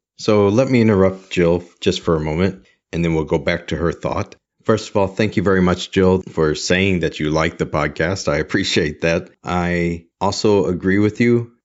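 A man with an American accent speaks in a very deep, low voice. His pace is moderate, with ordinary pitch variation. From United States. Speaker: podcast host, sign language interpreter and trainer. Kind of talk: solo podcast monologue answering listener voicemails.

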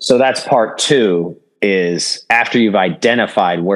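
This man has a very deep, low pitch and speaks at a fairly slow pace with ordinary pitch variation. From United States. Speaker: mortgage company CEO. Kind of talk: interview conversation.

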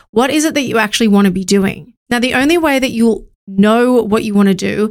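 Someone with an Australian accent talks at a fairly quick pace in a very clean recording with a silent background. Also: woman. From Australia, Sydney northern beaches. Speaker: podcast host and marketing agency founder. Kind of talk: solo motivational talk.

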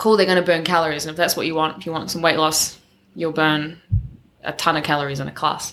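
With a New Zealand accent, the speaker goes at a very fast pace using fairly even intonation. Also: woman, very deep, low pitch for a woman. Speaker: personal trainer and CrossFit coach. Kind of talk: casual interview chat.

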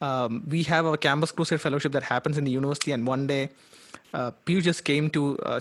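This man speaks at a fairly quick pace. His pitch sits fairly high. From India, Kerala. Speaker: founder of an apologetics ministry. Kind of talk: casual chat.

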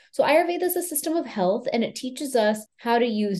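The tone is dark and mellow, with lively intonation in an American accent. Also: woman. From US, Houston, Texas. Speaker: Ayurvedic practitioner. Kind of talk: interview.

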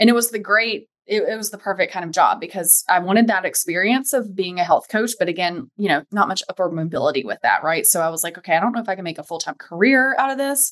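Speaking at a very fast pace, a woman with an American accent uses lively intonation at a medium pitch. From US South, Charlotte, North Carolina. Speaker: home organizing business owner. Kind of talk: casual interview chat.

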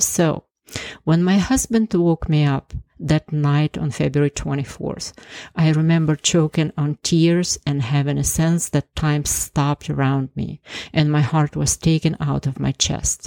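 With a very deep, low pitch and a dark, mellow tone, a woman speaks at a fairly slow pace and with fairly even intonation, on a very clean recording that has a silent background and a dry, close sound with no echo. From Ukraine. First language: Ukrainian or Russian. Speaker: cardiologist and podcast host. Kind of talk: scripted narration.

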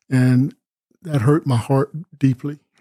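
This man has a medium-pitched voice and an American accent. His intonation stays fairly even. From US South (Columbus, Georgia area). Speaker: minister and evangelist. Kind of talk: interview conversation.

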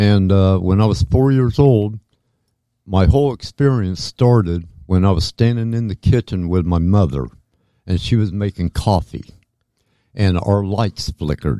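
A man with a Midwestern US accent talks at a fairly slow pace in a dark, mellow tone with ordinary pitch variation, the sound dry and close with no echo on a very clean recording over a silent background. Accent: US Midwest. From southwest Ohio (Dayton/Fairborn). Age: 60s. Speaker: alien abduction experiencer. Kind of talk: interview testimony. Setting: studio.

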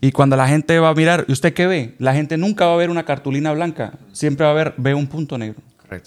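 A man talking very fast, with ordinary pitch variation. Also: fairly high pitch for a man. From Colombia. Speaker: podcast co-host. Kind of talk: casual chat. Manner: loud.

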